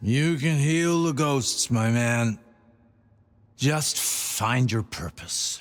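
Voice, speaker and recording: A man puts on a character voice at medium pitch and talks at a very slow pace. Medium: video game. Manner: calm, cryptic.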